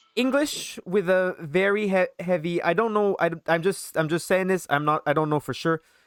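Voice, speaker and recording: A moderate pace with hardly any pauses, in a Quebec accent. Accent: Quebecois French. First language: French. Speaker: podcast host. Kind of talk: casual chat.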